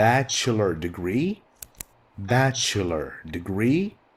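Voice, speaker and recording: A man talks with an Arabic accent, his pitch swinging very widely. Noticeable background noise runs beneath him. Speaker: English teacher. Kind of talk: lecture. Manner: slow, clear explanatory.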